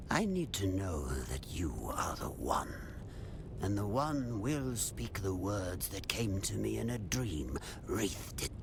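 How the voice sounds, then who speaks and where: Over loud background noise, a man puts on a character voice with a fairly low pitch and a fairly slow pace. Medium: video game. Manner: cryptic, repetitive.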